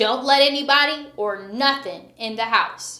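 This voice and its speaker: In a gruff put-on character voice, a woman speaks at a high pitch. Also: moderate pace. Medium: read story. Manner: gruff, huffy.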